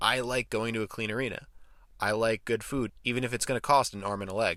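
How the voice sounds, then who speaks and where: A man with an American accent speaks at a fairly quick pace in a medium pitch, his tone bright and sharp, on a very clean recording with a silent background. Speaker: sports commentator. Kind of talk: scripted commentary.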